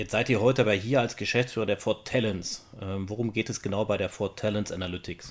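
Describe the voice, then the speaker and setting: A man with a fairly low pitch and fairly even intonation has an unremarkable speaking voice, with hardly any pauses. The recording is very clean, with a silent background. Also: fairly quick pace. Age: 50s. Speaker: podcast co-host. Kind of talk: casual chat.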